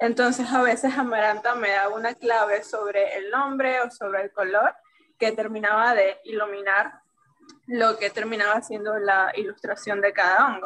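A woman with an unremarkable speaking voice talks at a moderate pace, her fairly high pitch moving in fairly even intonation. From Venezuela. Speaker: illustrator, language teacher. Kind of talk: casual interview chat.

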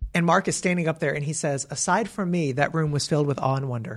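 The man's voice is fairly high and somewhat breathy. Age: 30s. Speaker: curriculum editor and author. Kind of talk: interview. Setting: office. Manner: halting, many restarts.

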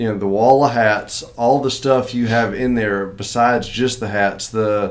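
In a Southern US accent, a man is talking. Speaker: podcast host. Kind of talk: casual chat.

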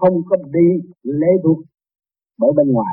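A man with a fairly high pitch at a moderate pace. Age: 60s. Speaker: spiritual teacher. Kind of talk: sermon.

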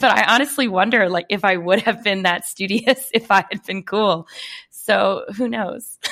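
Her tone is bright and sharp, at a medium pitch for a woman. She talks at a moderate pace with ordinary pitch variation. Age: 30s. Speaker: podcast co-host. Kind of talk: casual chat.

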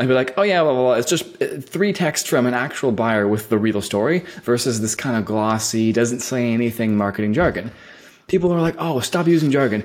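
A man with an American accent talks fairly quickly at a medium pitch, his intonation lively and his loudness very even, in an ordinary speaking voice. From US West Coast, San Francisco Bay Area. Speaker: agency founder and CEO. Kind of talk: interview.

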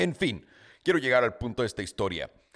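At a very fast clip, a man with a medium-pitched voice speaks in an animated tone with lively intonation. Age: 30s. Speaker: podcast host. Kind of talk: casual monologue.

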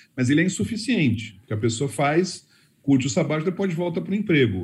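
Talking very fast, a man with a fairly high pitch swings very widely in pitch, with vocal fry in his voice. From Brazil. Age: 50s. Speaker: personal development course creator. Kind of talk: casual panel consultation.

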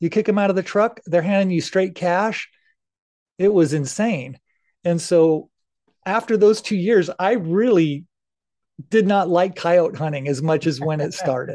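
Against a quiet background, a man with an American accent and a high, dark, mellow voice speaks at a fairly slow pace with ordinary pitch variation and long, frequent pauses. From Idaho. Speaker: coyote hunter and suppressor maker. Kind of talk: casual chat.

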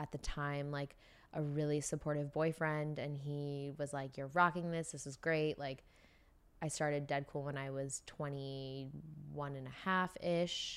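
A woman's very deep, low voice with a Californian accent, monotone and flat, at a fairly slow pace, on a very clean recording with a silent background. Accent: Californian American. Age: 20s. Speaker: beauty brand founder. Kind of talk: casual interview. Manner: casual, filler-heavy.

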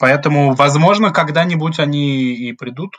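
An ordinary speaking voice from a man, with ordinary pitch variation. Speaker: graduate student, political scientist. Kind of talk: podcast interview.

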